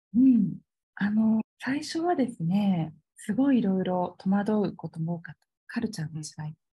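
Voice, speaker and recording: A woman speaks in a dark, mellow, somewhat breathy tone with lively intonation and big swings in loudness. The sound is dry and close, with no echo. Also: medium pitch for a woman, moderate pace. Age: 40s. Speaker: holistic aesthetician and salon owner. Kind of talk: interview conversation.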